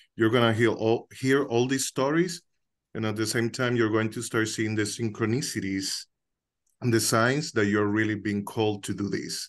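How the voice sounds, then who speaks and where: Speaking at a moderate pace and medium pitch, a man with a Dominican accent is heard against a quiet background. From Dominican Republic, Santiago. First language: Spanish. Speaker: co-host of a coincidence discussion group. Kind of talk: casual sharing in an online group session. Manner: hesitant, with many filler words.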